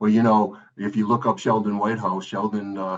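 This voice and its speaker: The man's voice sits at a fairly low pitch. He talks at a moderate pace. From Rhode Island, Providence. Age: 60s. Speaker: political candidate. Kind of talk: interview. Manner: halting, many fillers.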